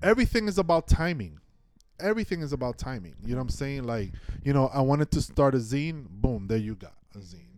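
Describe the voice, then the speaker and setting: Racing at a very fast pace, a man with an American accent speaks at a medium pitch with very wide pitch swings and big swings in loudness. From New York City. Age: 40s. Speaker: filmmaker. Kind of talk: casual chat.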